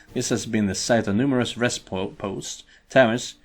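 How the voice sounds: A natural reading voice carries ordinary pitch variation throughout.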